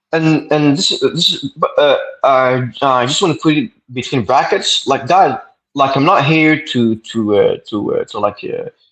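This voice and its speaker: Here a man speaks in a Quebec accent. His pace is fairly slow. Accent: French Canadian accent in English. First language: French. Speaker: debater. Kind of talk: debate. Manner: halting, stuttering repetitions.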